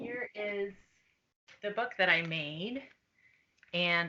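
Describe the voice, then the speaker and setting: A soft-spoken woman talks with a bright, sharp tone. Her pitch varies in an ordinary way. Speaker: children's book author. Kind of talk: interview answers to students.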